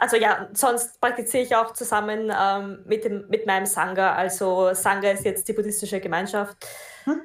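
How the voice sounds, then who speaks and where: A woman with a normal speaking voice talks at medium pitch and a moderate pace, her intonation fairly even. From Austria. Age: 20s. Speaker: Buddhist practitioner and teacher. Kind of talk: casual interview.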